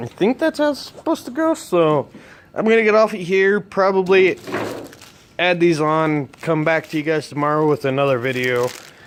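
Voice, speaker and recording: This man talks at a moderate pace with a high pitch. Noticeable background noise runs behind him. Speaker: truck hobbyist vlogger. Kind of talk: casual workshop vlog. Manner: casual, rambling with fillers.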